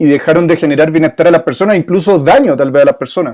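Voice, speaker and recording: This man's fairly high pitch carries ordinary pitch variation as he talks at a very fast pace. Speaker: moderator. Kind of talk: interview.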